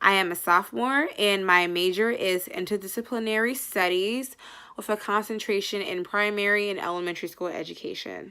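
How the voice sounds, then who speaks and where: Speaking with an American accent, a woman uses a bright, sharp tone, medium pitch, ordinary pitch variation and a fairly quick pace, on a very clean recording with a silent background. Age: 20s. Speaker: university student. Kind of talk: scholarship application video monologue.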